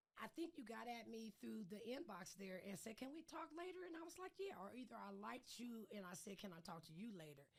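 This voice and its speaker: A woman with an American accent speaks at a moderate pace in a fairly high voice, her pitch swinging very widely, with vocal fry. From US Pacific Northwest. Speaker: podcast host. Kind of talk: casual chat.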